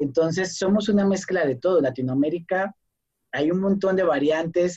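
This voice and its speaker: Keeping a very even loudness, a man with a high pitch and a dark, mellow tone talks at a moderate pace. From Colombia, small town. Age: 30s. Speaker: performing artist and cultural researcher. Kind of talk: casual chat.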